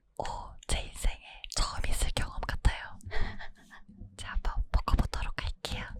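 Whispering at a fairly slow pace, a woman leaves long, frequent pauses. Her loudness swings widely. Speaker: newly debuted virtual streamer (VTuber) guest. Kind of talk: interview answer. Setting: eating jelly close to the ear.

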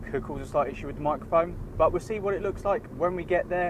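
A man's voice sounds dry with no echo, though noticeable background noise is present. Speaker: tech reviewer. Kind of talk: casual vlog chat. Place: car. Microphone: lapel.

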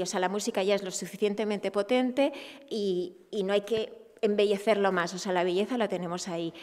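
In an Asturian accent, a woman talks at a fairly quick pace with fairly even intonation against a quiet background. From Asturias. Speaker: festival organizer. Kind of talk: press conference; press conference remarks. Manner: halting. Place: meeting room. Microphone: podium.

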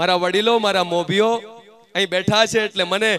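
A man speaks in a raised, projected voice with a bright, sharp tone. The sound is dry with no echo, over light background noise. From Gujarat. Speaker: event emcee. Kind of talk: stage announcements. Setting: stage with audience. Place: stage. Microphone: handheld.

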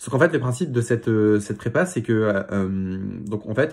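A man talks in a fairly low voice with ordinary pitch variation. The background is quiet. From Paris region, France; France. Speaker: student YouTuber. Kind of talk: vlog monologue. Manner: halting, many filler sounds. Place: home room. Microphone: phone near.

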